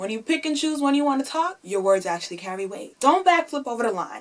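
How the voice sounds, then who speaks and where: Loud and animated, a woman talks at a fairly quick pace with a high pitch and very wide pitch swings. Noticeable background noise can be heard. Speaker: YouTuber. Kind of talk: opinion vlog.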